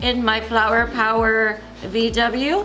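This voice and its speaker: A woman with a fairly high pitch is heard with audible room echo and music in the background. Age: 60s. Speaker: teacher. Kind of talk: comedic monologue segment. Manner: animated.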